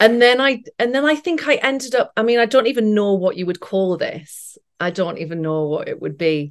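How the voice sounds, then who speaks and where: This woman speaks fairly quickly in a fairly high voice. Her pitch swings very widely. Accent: British. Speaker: actress. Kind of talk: casual chat.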